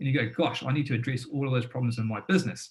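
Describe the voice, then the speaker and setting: A somewhat breathy man's voice at a medium pitch, fairly quick, with ordinary pitch variation. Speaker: business founder and former tradesman giving a webinar. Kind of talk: webinar presentation. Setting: live online webinar. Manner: fast; animated.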